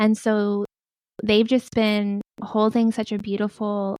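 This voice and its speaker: Soft-spoken and monotone, a woman with a medium pitch talks with flat intonation in a dry, close sound with no echo. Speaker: spiritual guide and tree communicator. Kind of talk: interview answer.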